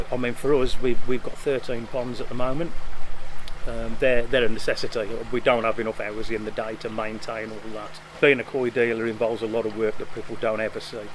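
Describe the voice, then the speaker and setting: The speaker talks at a fairly quick pace in a monotone, flat intonation. Noticeable background noise runs underneath. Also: man, medium pitch for a man. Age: 50s. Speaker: koi dealer. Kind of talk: interview. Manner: halting, with repetitions and fillers.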